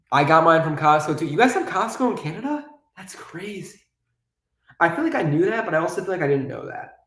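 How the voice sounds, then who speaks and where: In a room with audible echo, a man talks very fast in a high voice, with lively intonation and big swings in loudness. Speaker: YouTuber, toy building streamer. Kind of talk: live-stream building chat.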